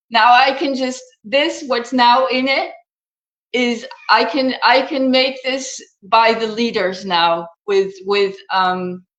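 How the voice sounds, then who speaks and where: Very slowly and at a high pitch, a woman speaks with ordinary pitch variation amid audible room echo. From Netherlands. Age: 60s. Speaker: natural health coach. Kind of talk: interview. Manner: halting.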